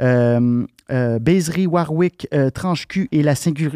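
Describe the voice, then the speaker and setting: A man with a Quebec accent, fairly high pitch and a dark, mellow tone, fairly slow with ordinary pitch variation, dry and close with no echo against a quiet background. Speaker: podcast host. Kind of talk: casual interview chat. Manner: hesitant, many fillers.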